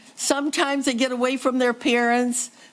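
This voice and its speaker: Speaking with an American accent, a woman talks at a moderate pace in a high voice. Noticeable noise sits in the background. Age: 80s+. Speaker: resident speaking at public comment. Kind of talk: public comment at council meeting. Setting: city council chambers.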